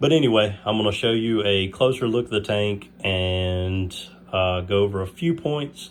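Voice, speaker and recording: A man with a fairly low voice speaks at a moderate pace, his pitch varying in an ordinary way. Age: 30s. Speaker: aquarium hobbyist youtuber. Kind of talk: casual video tour. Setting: at home, bedroom. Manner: hesitant, many fillers.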